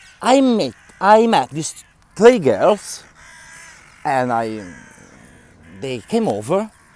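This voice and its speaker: At a very slow pace with long, frequent pauses, a speaker with a strong non-native accent shows very wide pitch swings and big swings in loudness. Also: man, high pitch for a man. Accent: strong foreign. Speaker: vlogger and activist. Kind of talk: casual vlog monologue. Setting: outdoors.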